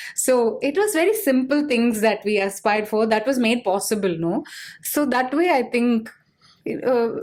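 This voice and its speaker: In a Tamil accent, a woman talks at a moderate pace in a high pitch with lively intonation and very even loudness, on a very clean recording with a silent background. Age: 40s. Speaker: business leader. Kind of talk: interview.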